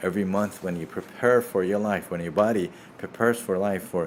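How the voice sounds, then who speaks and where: Speaking in a Persian accent, a man with a fairly low pitch keeps a moderate pace. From Iran. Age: 50s. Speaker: surgeon. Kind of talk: live Q&A. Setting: livestream.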